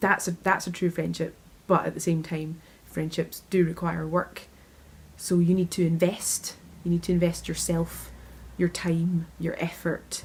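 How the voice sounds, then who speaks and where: This woman's voice is somewhat breathy, with monotone, flat intonation. She speaks at a fairly slow pace. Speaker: interviewee. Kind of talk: interview answer.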